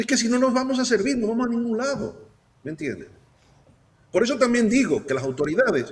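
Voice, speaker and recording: Extremely high pitch from a man, fairly quick in pace yet broken by long, frequent pauses, with lively intonation. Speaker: guest analyst. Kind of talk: talk show discussion. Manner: animated.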